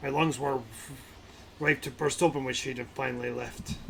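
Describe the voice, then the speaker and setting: A man puts on a raspy character voice at a medium pitch and a moderate pace. The delivery is flat and monotone, with clear background noise. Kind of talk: archaic formal speech. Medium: game stream. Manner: solemn, measured.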